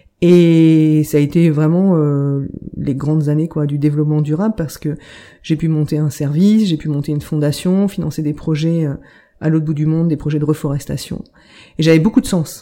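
A woman's very deep, low, dark and mellow voice at a moderate pace, with fairly even intonation. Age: 40s. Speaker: medium and healer, former corporate sustainability director. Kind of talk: interview, personal life story. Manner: hesitant, many fillers and repetitions.

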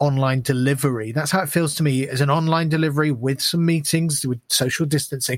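The speaker is a man with a fairly high pitch and a somewhat breathy sound. He moves at a fairly quick pace with fairly even intonation. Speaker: mastering engineer and part-time teacher. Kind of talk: casual academic discussion.

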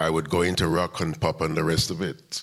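A man speaks in an animated tone. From Jamaica (West Kingston). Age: 80s+. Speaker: music venue owner and community activist. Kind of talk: live interview on stage. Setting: stage with audience. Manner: animated storyteller.

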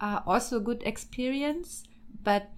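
A woman with a German accent at a moderate pace, her intonation fairly even, in a very clean recording with a silent background. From Germany and Austria. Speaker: political scientist, PhD candidate. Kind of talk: casual interview.

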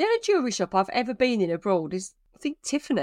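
A woman with a British accent talks at a very fast pace, the sound dry and close with no echo over a quiet background. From Britain. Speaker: travel blogger and podcast co-host. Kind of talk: casual chat.

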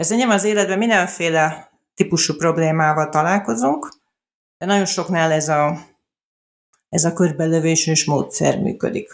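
A woman with a fairly low pitch speaks at a moderate pace with ordinary pitch variation and long, frequent pauses. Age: 40s. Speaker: journalist and adoption blogger. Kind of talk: interview.

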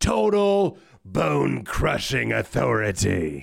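A man's put-on character voice, raspy and very deep and low, at a very slow pace. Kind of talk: announcer. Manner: authoritative, bombastic.

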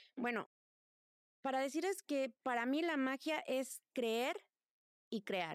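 Speaking at a very slow pace, a woman with a high pitch and lively intonation sounds dry and close with no echo. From Mexico. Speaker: tarot reader and witch. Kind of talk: casual interview chat.

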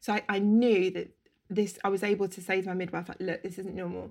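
The speaker has a London accent. The pace is very fast. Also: woman. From London, Camden. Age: 30s. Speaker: interior stylist. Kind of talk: casual chat.

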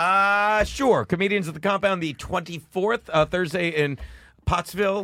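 In a raised, projected voice with a bright, sharp tone, the speaker goes at a fairly slow pace with ordinary pitch variation on a very clean recording with a silent background. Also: man, high pitch for a man. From South Jersey. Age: 50s. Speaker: stand-up comedian. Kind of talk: casual chat.

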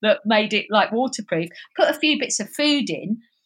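With a slight southeast London accent, a woman talks at a moderate pace in a high pitch with lively intonation against a quiet background. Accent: slight southeast London twang. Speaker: wildlife filmmaker and live streamer. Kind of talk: casual interview chat.

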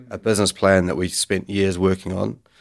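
A man talks at a moderate pace with a New Zealand accent and a very deep, low pitch. His intonation is monotone and flat, and the recording is very clean with a silent background. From New Zealand, Bay of Islands. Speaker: gym founder. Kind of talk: podcast interview. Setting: studio.

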